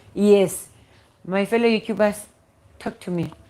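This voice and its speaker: A woman with a South African accent. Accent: South African Xhosa-accented English. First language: Xhosa. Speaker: YouTuber. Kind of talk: live stream chat. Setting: at home. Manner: halting, repetitive.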